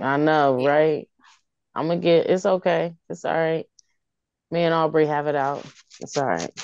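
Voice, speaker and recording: The speaker goes at a moderate pace with long, frequent pauses and fairly even intonation, in a dry sound with no echo and a quiet background. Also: woman, very deep, low pitch for a woman. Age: 20s. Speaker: podcast panelist. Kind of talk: casual chat. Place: home room. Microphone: video call.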